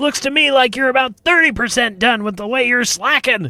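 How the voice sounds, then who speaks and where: A put-on character voice from a man, extremely high-pitched, at a moderate pace. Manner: sarcastic, scolding.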